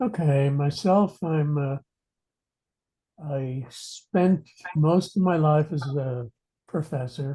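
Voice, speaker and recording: The man's fairly high voice has a dark, mellow tone and some breathiness, and he talks at a very slow pace. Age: 70s. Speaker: retired professor and aging researcher. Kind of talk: interview. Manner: halting.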